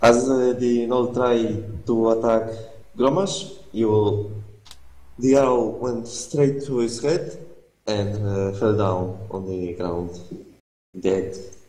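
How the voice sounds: A man speaks slowly in a fairly low, dark, mellow voice with ordinary pitch variation. Strong echo fills the room.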